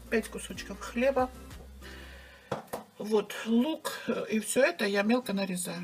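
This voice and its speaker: Over music in the background, a woman speaks. Her pace is fairly slow. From Georgia. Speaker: cooking video host. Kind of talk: cooking tutorial. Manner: casual, chatty.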